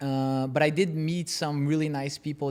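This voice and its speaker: A man talks with a Portuguese accent. The audio is very clean against a silent background. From Brazil, then Utah. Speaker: former soccer player and team owner. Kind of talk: interview. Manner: hesitant, many fillers.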